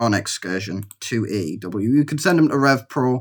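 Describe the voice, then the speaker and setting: A man speaks with a Geordie accent. His pace is moderate. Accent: Geordie (Newcastle). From northern England, Newcastle. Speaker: gaming YouTuber. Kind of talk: let's play commentary. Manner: casual, hesitant with fillers.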